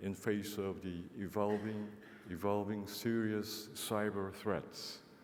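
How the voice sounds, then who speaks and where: A man with a Korean accent speaks in a fairly low voice at a fairly slow pace, with audible room echo. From South Korea. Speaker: ambassador. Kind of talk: formal speech. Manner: halting, many fillers.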